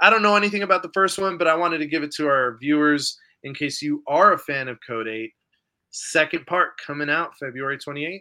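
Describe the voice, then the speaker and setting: This man has an unremarkable speaking voice, fairly high in pitch with ordinary variation. He talks at a fairly quick pace with big swings in loudness over a quiet background. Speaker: podcast host. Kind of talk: casual chat.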